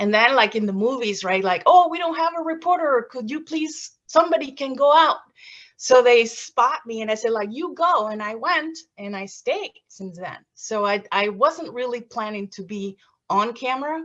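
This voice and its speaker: A woman with a Mexican accent, high-pitched and lively in intonation, at a moderate pace with big swings in loudness. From Mexico, Veracruz. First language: Spanish. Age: 50s. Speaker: former TV reporter, graduate student. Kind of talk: presentation. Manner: halting.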